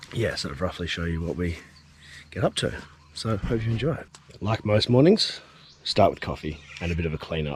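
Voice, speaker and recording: With an Australian accent, a man speaks at a fairly low pitch with lively intonation and long, frequent pauses. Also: fairly quick pace. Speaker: outdoor cooking vlogger. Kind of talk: casual vlog. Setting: outdoors at a campsite. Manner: quiet.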